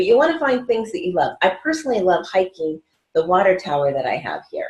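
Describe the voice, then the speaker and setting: Speaking at a very fast pace, a woman has a medium pitch and a somewhat breathy voice. Her pitch swings very wide. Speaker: weight-loss coach. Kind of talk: recorded video class. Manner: quiet; casual, upbeat.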